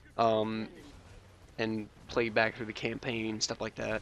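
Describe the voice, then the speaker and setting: A quiet man's voice at a medium pitch. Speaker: gaming YouTuber. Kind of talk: gameplay commentary. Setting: home recording at night. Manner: quiet, held-down voice; hesitant, many ums and uhs.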